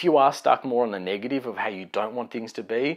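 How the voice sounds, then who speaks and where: On a very clean recording with a silent background, a man speaks at a medium pitch. He sounds animated and moves at a fairly quick pace. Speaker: life coach. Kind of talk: motivational talk. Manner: fast.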